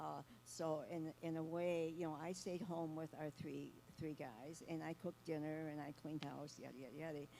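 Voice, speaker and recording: A woman with a very deep, low pitch and a dark, mellow tone talks at a moderate pace with fairly even intonation. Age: 80s+. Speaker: counselor. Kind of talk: panel discussion.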